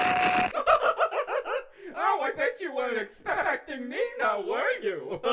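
A man uses a put-on character voice at an extremely high pitch and a very slow pace. Loud background noise is present. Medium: voice reel. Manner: mocking, playful.

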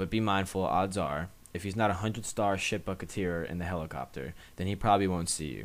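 Vocal fry in a very deep, low male voice, with ordinary pitch variation. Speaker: gaming YouTuber. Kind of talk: gaming tutorial narration.

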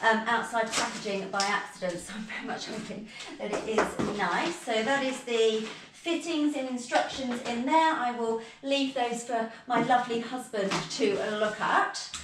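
A woman speaks at a moderate pace with ordinary pitch variation. Noticeable background noise and audible room echo fill the recording. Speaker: home vlogger. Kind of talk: casual vlog chat. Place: empty room. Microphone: camera far.

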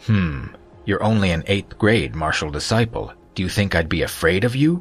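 Doing a put-on character voice, a man speaks low with a slightly husky edge and lively intonation. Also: moderate pace.

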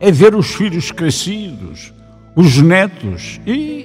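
A man talks very slowly with music in the background. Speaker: voice actor / radio announcer. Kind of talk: message narration for a golden wedding anniversary.

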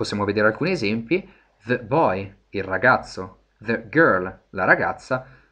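Against a quiet background, a man with a bright, sharp tone and medium pitch talks at a fairly slow pace with lively intonation. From Italy. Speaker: English teacher. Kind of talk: lecture. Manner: hesitant, many fillers.

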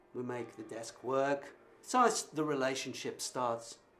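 Faint music plays in the background. A man talks at a fairly slow pace with fairly even intonation. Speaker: interviewee. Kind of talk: interview answer.

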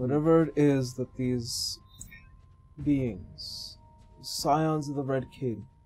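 A man does a put-on character voice at medium pitch and a very slow pace. Long, frequent pauses break it up, with faint music in the background. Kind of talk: fantasy roleplay gravity. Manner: solemn, sorrowful, grave.

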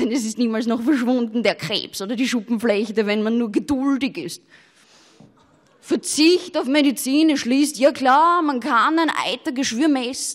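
Against a quiet background, a woman speaks at a high pitch. Her intonation is lively and her pace fairly slow. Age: young. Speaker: poetry slammer, cabaret artist. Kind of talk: poetry slam performance. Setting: live stage. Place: stage. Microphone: handheld.

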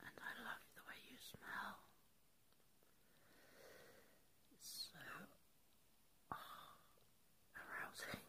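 A soft-spoken woman whispering very slowly, with long, frequent pauses. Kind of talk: intimate roleplay talk to viewer. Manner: soft drowsy intimate whisper. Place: home room. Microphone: phone near.

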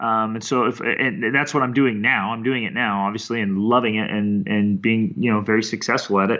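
A medium-pitched man at a fairly quick pace with ordinary pitch variation and hardly any pauses. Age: 30s. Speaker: world traveler and mentor. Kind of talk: casual interview. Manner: animated.

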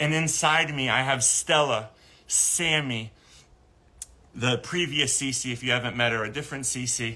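A man's bright, sharp tone at a fairly slow pace, with fairly even intonation and long, frequent pauses. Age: 30s. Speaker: animal sanctuary nonprofit founder. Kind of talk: livestream monologue. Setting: live stream video. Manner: halting, many repeated words; emotional, earnest. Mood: earnest, emotional update. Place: garden. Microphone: phone near.

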